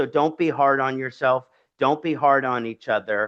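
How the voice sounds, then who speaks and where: A man with a strong Philadelphia accent speaks at medium pitch with fairly even intonation, the sound dry and close with no echo over a quiet background. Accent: thick Philadelphia. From US, Philadelphia, Pennsylvania. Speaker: Vedic astrologer. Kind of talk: lecture.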